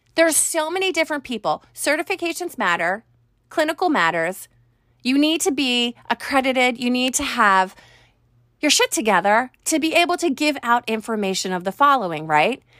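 A woman with a high pitch talks in a raised, projected voice at a moderate pace, her tone bright and sharp, her pitch swinging very widely. The recording is very clean with a silent background and a dry, close sound with no echo. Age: 40s. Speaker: podcast host and life coach. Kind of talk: solo podcast monologue. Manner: conversational, partly reading from notes.

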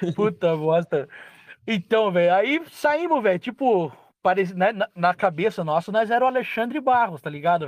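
A high-pitched man speaks at a moderate pace, his pitch swinging very widely. The sound is dry and close with no echo, over a quiet background. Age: 30s. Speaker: truck driver. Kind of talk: casual chat.

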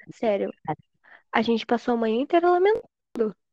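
A woman with a fairly high pitch and a dark, mellow tone speaks at a fairly quick pace with lively intonation. The sound is dry and close, with no echo. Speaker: podcast guest. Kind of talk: casual chat.

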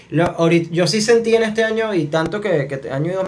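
A man speaks at a very fast pace with fairly even intonation. Audible room echo and noticeable background noise surround him. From Venezuela, Maracay. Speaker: podcast host. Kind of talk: casual chat.

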